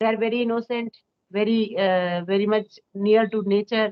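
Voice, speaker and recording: A woman speaks with an Indian accent. Her pitch is fairly high and her pace moderate. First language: Hindi. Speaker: school teacher. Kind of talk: casual chat. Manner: halting.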